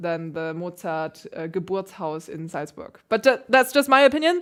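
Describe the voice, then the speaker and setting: A woman speaks with a German accent. Her pitch is medium and her intonation lively. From Germany. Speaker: classical pianist. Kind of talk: livestream chat. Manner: casual, hesitant fillers. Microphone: new piano mic.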